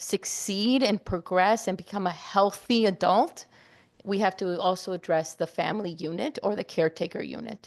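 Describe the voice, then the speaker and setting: With a non-native accent, a woman speaks at a moderate pace and medium pitch with fairly even intonation, in a dry, close sound with no echo and a quiet background. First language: not English. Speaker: committee presenter. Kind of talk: meeting presentation. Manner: halting.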